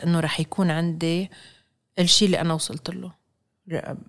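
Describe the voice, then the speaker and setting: A woman's fairly low voice on a very clean recording against a silent background. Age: 40s. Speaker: chef. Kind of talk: interview. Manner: animated; code-switching with English.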